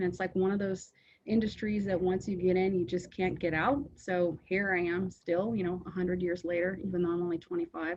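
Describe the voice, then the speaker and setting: The pace is fairly quick. The intonation stays fairly even. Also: woman. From US Pacific Northwest, Seattle. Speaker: trucking company owner. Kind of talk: interview. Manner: hesitant with many fillers.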